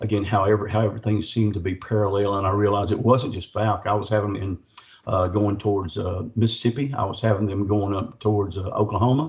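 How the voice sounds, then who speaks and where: A man with a Southern US accent, somewhat breathy, fairly low-pitched, at a very fast pace. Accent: US South. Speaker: cryptid researcher and author. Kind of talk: casual chat. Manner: animated.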